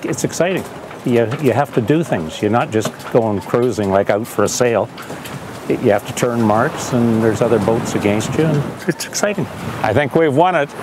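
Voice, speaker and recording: A man talks at a moderate pace with a medium pitch and lively intonation. His loudness stays very even over noticeable background noise. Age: 70s. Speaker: veteran sailor, race tactician. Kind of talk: interview and giving crew commands.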